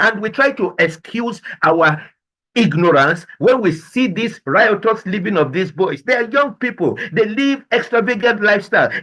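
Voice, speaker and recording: High-pitched man's raised, projected voice, bright and sharp in tone, with lively intonation at a moderate pace. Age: 60s. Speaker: business and life coach. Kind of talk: motivational presentation. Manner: animated.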